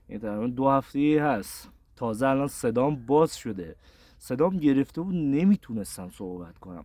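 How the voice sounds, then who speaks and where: A man's dark, mellow tone. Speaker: beekeeper. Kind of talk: casual tutorial vlog.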